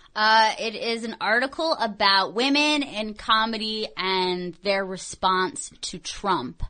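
Against a quiet background, a woman speaks at a very slow pace with hardly any pauses, using a fairly high pitch, a bright, sharp tone and lively intonation. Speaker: radio and podcast host. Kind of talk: casual chat. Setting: studio.

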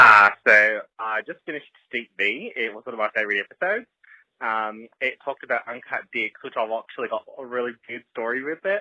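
Loudness swings widely as a man with an Australian accent talks at a fairly quick pace. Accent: fake Australian accent, put on. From United States. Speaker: listener leaving voicemail. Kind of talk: voicemail story. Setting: phone voicemail.

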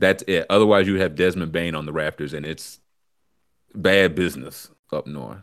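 Heard with vocal fry and big swings in loudness, a man with a very deep, low pitch talks at a moderate pace with ordinary pitch variation. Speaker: podcast host. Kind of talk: casual livestream chat about sports and weather. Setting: live stream with chat. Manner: easygoing, chatty.

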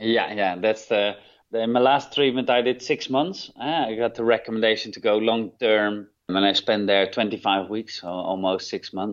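A man with a Dutch accent speaks at a moderate pace with ordinary pitch variation. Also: medium pitch for a man, hardly any pauses. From Netherlands. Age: 30s. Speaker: rehab program manager. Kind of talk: interview. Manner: halting.

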